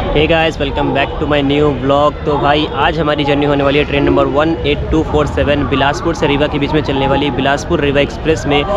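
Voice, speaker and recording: A man talks at a moderate pace with hardly any pauses. The sound is dry with no echo, though loud background noise is present. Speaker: travel vlogger. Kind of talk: casual vlog chat. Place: station. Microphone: phone near.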